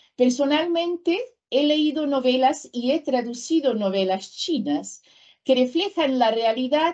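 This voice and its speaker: A woman speaks at a very slow pace in a high voice, her intonation lively. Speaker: professor and translator. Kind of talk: lecture.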